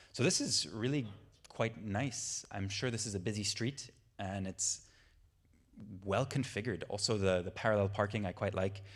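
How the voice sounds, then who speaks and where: Long, frequent pauses break up fairly even intonation on a very clean recording with a silent background. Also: man, fairly low pitch for a man, moderate pace. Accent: Irish. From Ireland. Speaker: transport planning trainer. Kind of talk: training lecture.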